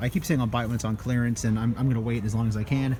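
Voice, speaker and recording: Very fast speech from a man, medium in pitch, with ordinary pitch variation. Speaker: toy collector vlogger. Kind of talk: toy hunting vlog narration. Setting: walking through retail stores. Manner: talking quietly in store.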